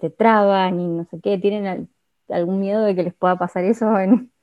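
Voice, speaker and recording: With a normal speaking voice, this woman keeps a medium pitch and fairly even intonation while talking at a moderate pace. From Argentina. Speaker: podcast host, student. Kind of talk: casual interview chat.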